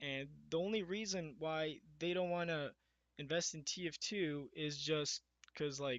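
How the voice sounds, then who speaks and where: The man's voice is shaky, with ordinary pitch variation. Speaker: gaming YouTuber. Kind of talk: casual podcast monologue. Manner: shaky, nervous delivery; halting, many fillers. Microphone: poor quality mic.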